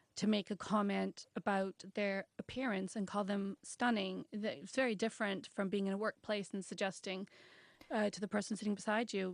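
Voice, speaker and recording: Against a quiet background, a woman talks in an unremarkable speaking voice at medium pitch. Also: dry, close sound with no echo. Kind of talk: radio interview answer.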